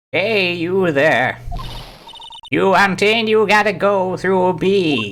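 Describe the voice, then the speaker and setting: In a put-on character voice with a middle pitch, the speaker goes at a very slow pace with long, frequent pauses. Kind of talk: generic.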